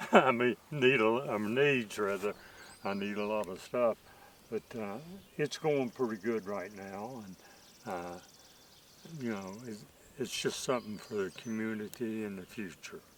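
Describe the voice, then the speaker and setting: Amid noticeable background noise, a man with an Appalachian accent speaks at a fairly low pitch with ordinary pitch variation, a fairly slow pace and long, frequent pauses. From West Virginia, Rainelle area. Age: 80s+. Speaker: orchard planter, landowner. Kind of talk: casual interview. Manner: halting.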